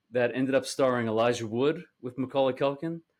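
This man has an American accent and a normal speaking voice at medium pitch. His pace is moderate and his pitch varies in an ordinary way. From US Northeast, Staten Island, New York. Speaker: actor and comedy director. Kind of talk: casual chat. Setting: remote recording from home.

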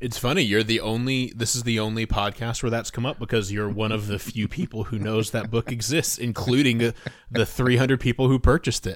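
With noticeable background noise behind him, a man talks at a fairly quick pace in fairly even intonation. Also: medium pitch for a man. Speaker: author and content marketing editor. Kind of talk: casual interview chat.

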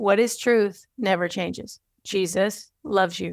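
Speaking in a plain, everyday voice, a woman holds a medium pitch with ordinary pitch variation. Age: 40s. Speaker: podcast host and writing coach. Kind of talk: teaching talk.

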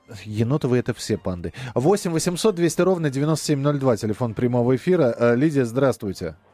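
On a very clean recording with a silent background, a man with a dark, mellow tone speaks at a medium pitch and a moderate pace, his pitch swinging very widely. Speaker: radio host. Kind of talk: casual chat. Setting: studio.

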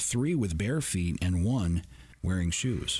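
A man's somewhat breathy, very deep, low voice with very wide pitch swings. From US Midwest. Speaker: podcast host. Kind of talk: scripted-style podcast recap, casual monologue. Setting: studio. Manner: casual, chatty.

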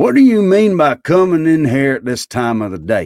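In a put-on character voice, gruff and growling, the speaker moves at a moderate pace with very wide swings in pitch. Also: man. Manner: growling, gruff, irritable.

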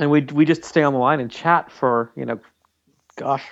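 A man talks at a fairly quick pace in an ordinary speaking voice. His pitch is medium and his intonation fairly even. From Canada. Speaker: game developer. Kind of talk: casual chat.

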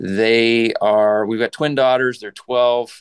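Slow and clear, a man speaks in a smooth tone. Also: medium pitch for a man, fairly even intonation.

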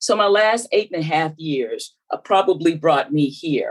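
A woman speaks with a Southern US accent. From US South, South Carolina. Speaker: former telecom regulator and AI commissioner. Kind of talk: interview.

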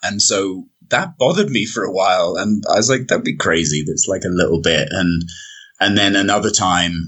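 A man with a British accent at a moderate pace. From Britain. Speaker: long-distance hiker. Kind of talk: casual interview.

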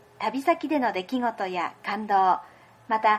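A woman is speaking. Her pitch swings very widely. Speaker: podcast host. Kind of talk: casual chat; scripted intro.

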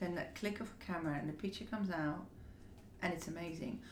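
A woman has a plain, everyday voice at a medium pitch. Her intonation is fairly even. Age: 50s. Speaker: hairdresser and beauty executive. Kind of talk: interview. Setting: office.

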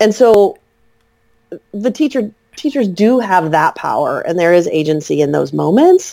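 With an American accent, a woman speaks at a fairly slow pace, her pitch swinging very widely. Her tone is dark and mellow, and she leaves long, frequent pauses. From US Midwest, Central Illinois. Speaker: author and early childhood educator. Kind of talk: casual interview.

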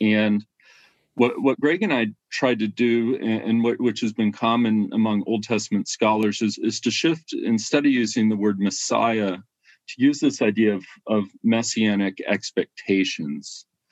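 A man has an ordinary speaking voice, medium in pitch with ordinary pitch variation, at a fairly slow pace, in a dry, close sound with no echo. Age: 40s. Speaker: biblical scholar. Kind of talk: casual chat.

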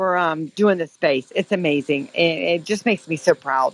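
A woman with an American accent has a normal speaking voice and a fairly low pitch. The sound is dry and close, with no echo. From Florida. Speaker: caller. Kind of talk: live call-in discussion. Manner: earnest, emotional.

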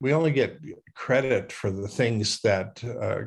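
A somewhat breathy voice talks at a moderate pace over a quiet background. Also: man. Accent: American. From US Midwest, rural South Dakota. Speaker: futurist and public speaker. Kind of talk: interview. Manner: halting, many fillers.

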